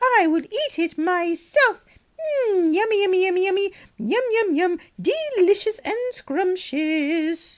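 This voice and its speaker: Someone does a cartoonish character voice at a fairly slow pace. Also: woman, extremely high pitch for a woman. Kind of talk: children's puppet show.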